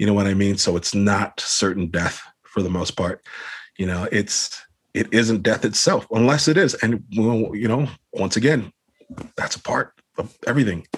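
In a plain, everyday voice, a man speaks with an American accent at a fairly low pitch. His pace is moderate and his pitch variation ordinary. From Los Angeles, California. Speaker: hardcore band vocalist. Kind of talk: casual interview chat. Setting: video call.

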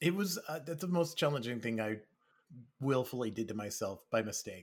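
An unremarkable speaking voice with lively intonation comes through on a very clean recording against a silent background. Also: man. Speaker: developer relations executive. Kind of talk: casual interview chat.

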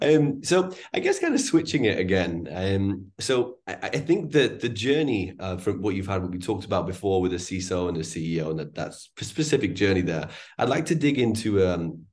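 Speaking at a moderate pace, a man with a fairly low pitch uses lively intonation in a somewhat breathy voice. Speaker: podcast host, recruiter. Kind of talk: interview.

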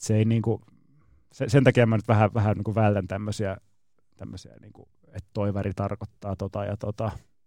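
A man talks at a moderate pace in a fairly low, dark and mellow voice with flat, monotone intonation. The sound is dry and close with no echo, on a very clean recording with a silent background. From Finland. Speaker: Peking opera performer and director. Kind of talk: casual radio interview.

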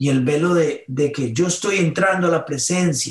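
This man speaks with a high pitch. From Colombia, northern Caribbean coast. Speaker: worship musician and pastor. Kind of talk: interview.

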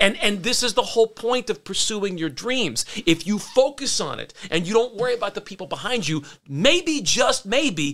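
With an American accent, a man talks at a high pitch that swings very widely up and down. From Pittsburgh area, US. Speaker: business owner and former actor. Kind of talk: casual interview chat.

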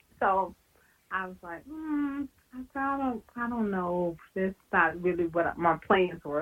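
Speaking fairly slowly, a woman with a Southern US accent uses lively intonation. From Louisiana. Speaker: professor. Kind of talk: oral history interview.

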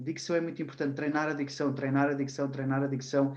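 Here is a man whose pitch is fairly high. He talks at a fairly quick pace. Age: 20s. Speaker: personal development trainer and psychology student. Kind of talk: casual interview.

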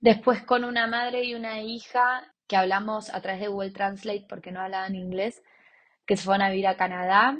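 Using a normal speaking voice at medium pitch, a woman speaks at a moderate pace with fairly even intonation and big swings in loudness. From Argentina, Buenos Aires. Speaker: volunteer and entrepreneur. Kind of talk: interview testimony.

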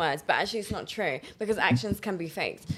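A woman talks at a medium pitch with vocal fry. Her intonation is lively. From Poland. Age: 20s. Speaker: mental health therapist and holistic healer. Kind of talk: casual chat.

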